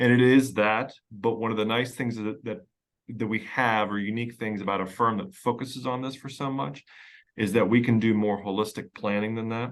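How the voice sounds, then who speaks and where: With an American accent, a man speaks at a moderate pace and a fairly low pitch. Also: quiet background. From Pennsylvania, US. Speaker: estate planning lawyer. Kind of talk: podcast interview. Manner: conversational, with fillers and repetitions.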